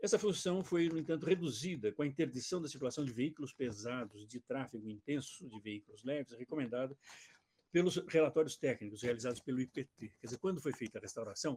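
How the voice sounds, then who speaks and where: A man talks very fast at a medium pitch with a dark, mellow tone and lively intonation, recorded dry and close with no echo. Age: 70s. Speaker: retired architecture and urbanism professor. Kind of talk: lecture; reading aloud his own written text.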